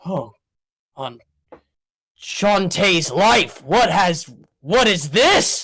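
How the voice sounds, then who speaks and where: In a put-on character voice at a middle pitch, the speaker goes at a very slow pace with long, frequent pauses. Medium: actual play. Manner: urgent, commanding.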